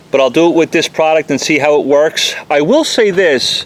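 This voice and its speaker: A man speaks with a New York accent. Noticeable background noise can be heard. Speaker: auto detailer. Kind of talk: product review. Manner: fast.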